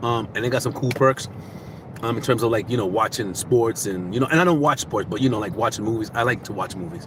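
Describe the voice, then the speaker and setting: Speaking at a very fast pace with an American accent, the voice sounds animated, with ordinary pitch variation and noticeable background noise. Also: man, medium pitch for a man. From Boston. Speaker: self-help vlogger. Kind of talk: casual monologue.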